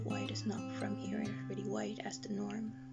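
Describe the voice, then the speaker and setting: A woman speaks over loud background music. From Netherlands. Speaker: spoken word poet. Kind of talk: slam poetry performance. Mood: earnest, critical. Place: home room.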